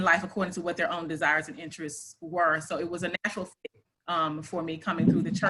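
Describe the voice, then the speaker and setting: A woman speaking at a fairly quick pace. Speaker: clinical psychologist. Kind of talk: interview. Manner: fast. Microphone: cutting in and out, too quiet.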